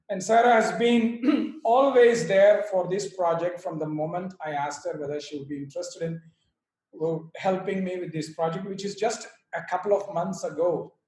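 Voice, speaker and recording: A man talks at a moderate pace in a high voice, his pitch rising and falling in an ordinary way. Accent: Indian. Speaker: yoga teacher and author. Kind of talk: speech at online book launch. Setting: video call.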